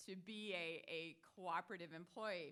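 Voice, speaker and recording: Very slowly, a woman speaks with an American accent at a medium pitch and ordinary pitch variation. Her tone is bright and sharp, on a very clean recording with a silent background. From US Upper Midwest. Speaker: dairy cooperative CEO. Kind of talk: conference presentation. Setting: stage at expo with audience.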